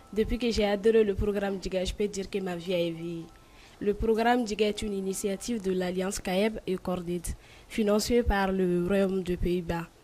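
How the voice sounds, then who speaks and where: The tone is dark and mellow. Delivery comes at a moderate pace with monotone, flat intonation. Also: woman, medium pitch for a woman. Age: young. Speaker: youth leader. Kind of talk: panel discussion.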